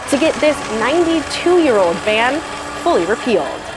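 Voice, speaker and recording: A woman with an American accent speaks at a moderate pace in a high voice that swings very widely in pitch, over noticeable background noise. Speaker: Capitol reporter. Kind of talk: television news reporter stand-ups.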